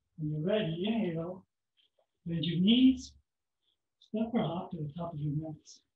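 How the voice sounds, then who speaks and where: At a moderate pace but with long, frequent pauses, a man speaks in a high voice with ordinary pitch variation, amid light background noise and audible room echo. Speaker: yoga instructor. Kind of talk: guided yoga class with step-by-step pose and breath cues. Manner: steady instructive pacing, gentle imperatives. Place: home room. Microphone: camera far.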